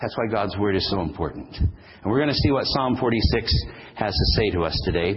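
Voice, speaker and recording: A man with a fairly low pitch speaks at a moderate pace with lively intonation. Audible room echo fills the recording. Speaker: pastor. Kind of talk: sermon.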